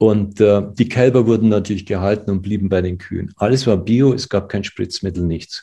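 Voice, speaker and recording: Over a quiet background, a man with a fairly low pitch and a dark, mellow tone speaks at a moderate pace with fairly even intonation and hardly any pauses. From Germany, village. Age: 60s. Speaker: physician and ayurveda expert. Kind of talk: interview.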